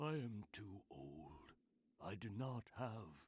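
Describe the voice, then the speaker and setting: A man puts on a character voice, fairly low in pitch. He talks at a very slow pace with very wide pitch swings. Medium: video game. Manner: solemn, measured.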